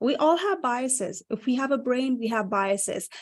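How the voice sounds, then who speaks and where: A woman with a Nepali accent, moderate pace, ordinary pitch variation, quiet background. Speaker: career coach. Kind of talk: panel talk show discussion. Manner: animated.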